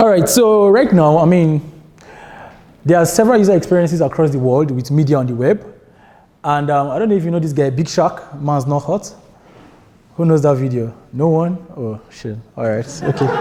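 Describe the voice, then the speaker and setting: Using lively intonation, a man with a Nigerian accent speaks at a fairly high pitch. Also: moderate pace. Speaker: software developer and conference speaker. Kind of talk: tech conference talk. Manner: casual, many filler words.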